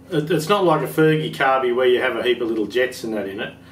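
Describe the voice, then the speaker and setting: Audible room echo and light background noise around a male voice. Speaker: tractor parts seller. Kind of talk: casual workshop chat. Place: workshop.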